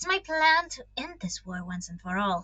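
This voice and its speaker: Using a put-on character voice at a medium pitch, a woman speaks at a moderate pace with a hissing sound. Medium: read story. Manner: cold, hissing.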